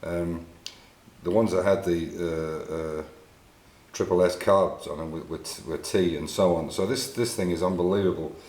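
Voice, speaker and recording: With an English accent, a man speaks at a moderate pace in a very deep, low voice with fairly even intonation and audible room echo. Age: 60s. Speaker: classic car restorer. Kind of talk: tutorial. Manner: halting.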